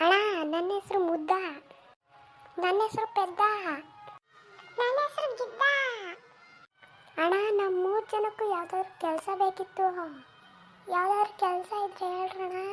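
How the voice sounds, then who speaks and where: An extremely high-pitched cartoonish character voice at a fairly slow pace. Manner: eager, deferential.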